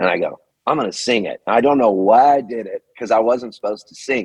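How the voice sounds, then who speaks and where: Speaking with a Californian accent, a man talks at a fairly quick pace in a medium pitch with ordinary pitch variation, in a dry, close sound with no echo. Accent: Californian American. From Southern California. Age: 60s. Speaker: singer-songwriter. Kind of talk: interview. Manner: animated.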